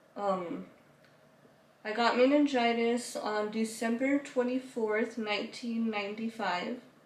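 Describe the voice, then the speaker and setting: Audible room echo surrounds a woman speaking at a very slow pace with fairly even intonation and a fairly high pitch. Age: 20s. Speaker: YouTuber telling her life story. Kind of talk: interview, personal story.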